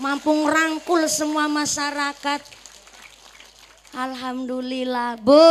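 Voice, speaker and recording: A woman's high-pitched, monotone, flat voice at a very slow pace, with long, frequent pauses over noticeable background noise. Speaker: female Islamic preacher. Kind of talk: sermon. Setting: village religious gathering with PA system. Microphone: echo effect removed from sound system.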